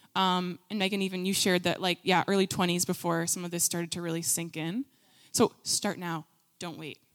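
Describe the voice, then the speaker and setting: With a plain, everyday voice, a woman talks at a fairly quick pace and a fairly low pitch, her intonation fairly even, on a very clean recording with a silent background. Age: 20s. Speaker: youth ministry leader. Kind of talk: sermon. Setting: stage with audience.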